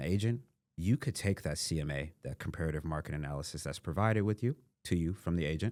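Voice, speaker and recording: Very wide pitch swings mark this man's fairly quick delivery. His tone is dark and mellow. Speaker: real estate investor. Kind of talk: podcast interview.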